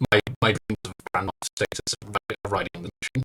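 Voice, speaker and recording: Using a put-on character voice, a man speaks in a fairly low pitch at a very fast pace, with big swings in loudness. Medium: actual play. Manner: nervous, earnest.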